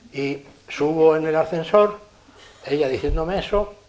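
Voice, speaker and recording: There is noticeable background noise as a man with a fairly high pitch talks. His pace is fairly slow and his pitch variation ordinary. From Spain. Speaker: engineer giving a lecture. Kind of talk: lecture with anecdotes.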